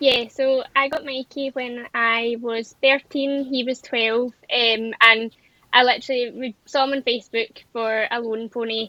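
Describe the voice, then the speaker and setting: Speaking with a Scottish accent, a woman delivers her words in a high pitch at a fairly slow pace, with monotone, flat intonation. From Scotland, North Ayrshire. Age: 20s. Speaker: amateur event rider. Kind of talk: podcast interview.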